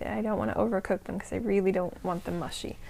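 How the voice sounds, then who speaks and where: A woman speaks in a soft-spoken voice. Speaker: podcast host. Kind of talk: casual chat. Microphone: new microphone.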